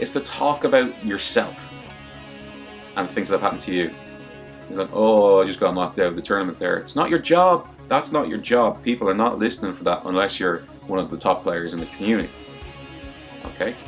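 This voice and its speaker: Music plays behind a man speaking at a fairly quick pace with a fairly low pitch. His pitch swings very widely, and he leaves long, frequent pauses. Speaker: fighting game commentator and video maker. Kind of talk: casual talk to camera, advice tutorial. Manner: conversational, candid.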